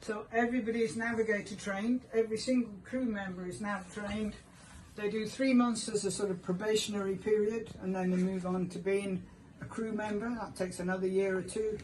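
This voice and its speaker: Audible room echo surrounds a woman speaking at a fairly quick pace. Her intonation stays fairly even. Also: medium pitch for a woman. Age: 70s. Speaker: lifeboat station volunteer tour guide. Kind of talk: guided tour explanation. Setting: aboard a lifeboat.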